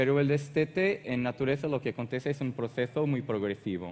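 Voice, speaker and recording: A man speaks with a Portuguese accent. His pitch varies in an ordinary way. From Portugal. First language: Portuguese (speaking Spanish). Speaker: animal health technical manager. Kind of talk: conference presentation. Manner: hesitant.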